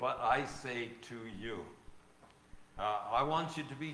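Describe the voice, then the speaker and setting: Over audible room echo, a man talks at a very slow pace with ordinary pitch variation. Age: 80s+. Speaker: preacher. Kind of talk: sermon. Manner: halting.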